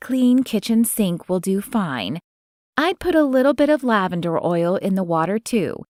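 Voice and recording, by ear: A person reads aloud with a natural voice. The intonation is lively and the surroundings are quiet.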